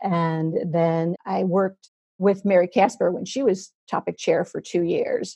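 A somewhat breathy woman's voice with a dark, mellow tone. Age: 50s. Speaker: speech pathologist. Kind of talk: casual interview chat. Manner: halting, many fillers.

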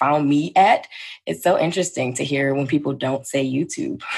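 A woman speaks at a moderate pace with vocal fry. Her pitch varies in an ordinary way against a quiet background. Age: 20s. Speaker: YouTuber and entrepreneur. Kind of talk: casual chat.

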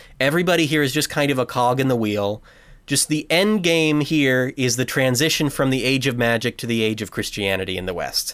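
This man has a normal speaking voice at a medium pitch. He talks fairly quickly with lively intonation. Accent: American. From United States. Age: 20s. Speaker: podcast host, film enthusiast. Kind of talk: casual chat.

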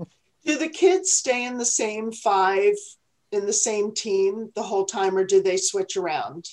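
A woman with a plain, everyday voice talks at a fairly slow pace, her fairly high pitch showing ordinary variation. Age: 60s. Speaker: podcast co-host and restaurateur. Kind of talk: casual chat.

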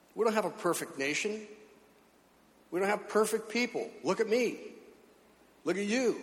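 A man with a high-pitched voice speaks at a moderate pace with ordinary pitch variation, leaving long, frequent pauses. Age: 70s. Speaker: pastor. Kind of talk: sermon. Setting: church.

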